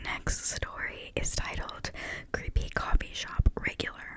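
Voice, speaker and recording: Whispering comes at a fairly slow pace. Noticeable background noise sits behind it. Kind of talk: ASMR reading of internet stories. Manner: whispered.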